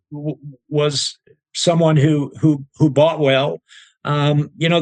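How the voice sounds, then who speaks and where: Fairly high in pitch, a man talks in an unremarkable speaking voice with fairly even intonation. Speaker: auctioneer and certified appraiser. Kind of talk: interview answer.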